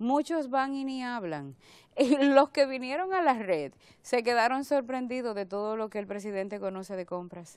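Quiet background, a woman's high voice with lively intonation and big swings in loudness, at a moderate pace, in dry sound with no echo. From Dominican Republic. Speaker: government agency director; public guest. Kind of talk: TV interview; interview answer. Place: studio. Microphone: lapel.

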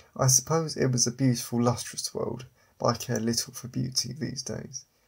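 Somewhat breathy and medium in pitch, a man's voice carries monotone, flat intonation. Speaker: audiobook narrator and author. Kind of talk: dramatic first-person audiobook narration of a sci-fi assassin story.

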